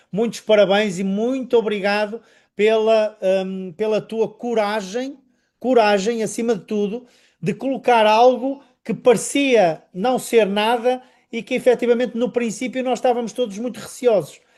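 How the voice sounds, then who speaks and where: A man's high-pitched voice at a fairly slow pace, fairly even in intonation, on a very clean recording with a silent background. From northern Portugal, Vila Nova de Gaia. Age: 50s. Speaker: network marketing presenter. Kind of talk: sales presentation interview.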